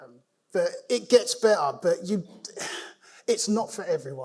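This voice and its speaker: This is a man speaking. He has a London accent. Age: 60s. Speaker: cancer patient. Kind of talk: conference talk. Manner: hesitant, informal.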